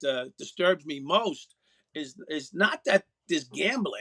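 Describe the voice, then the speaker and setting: This man speaks in a New York accent with a high pitch, a bright, sharp tone and lively intonation, recorded with a dry, close sound and no echo. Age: 60s. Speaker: former police officer. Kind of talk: radio interview. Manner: halting, many fillers.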